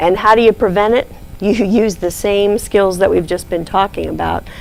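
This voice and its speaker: Fairly even intonation from a woman, with noticeable background noise behind her. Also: medium pitch for a woman, moderate pace. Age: 60s. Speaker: diabetes nurse educator. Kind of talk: lecture.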